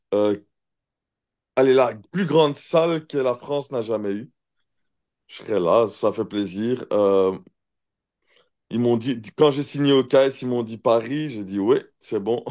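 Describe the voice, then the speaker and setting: Over a quiet background, a man with a Brussels accent speaks very slowly at medium pitch in a dark, mellow tone, with long, frequent pauses and big swings in loudness. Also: ordinary pitch variation. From Belgium, Brussels (Neder-Over-Heembeek). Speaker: professional MMA fighter. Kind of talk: casual interview. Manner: hesitant, many fillers.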